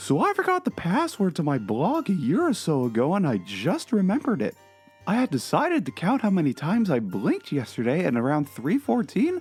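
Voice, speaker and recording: A put-on character voice at a middle pitch moves at a fairly quick pace. Faint music plays in the background. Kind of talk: dramatic reading of a comedy blog.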